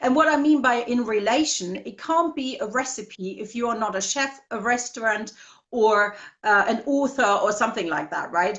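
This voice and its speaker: A normal speaking voice from a woman, fairly high in pitch, at a moderate pace with ordinary pitch variation. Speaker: marketing and copywriting consultant. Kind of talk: interview.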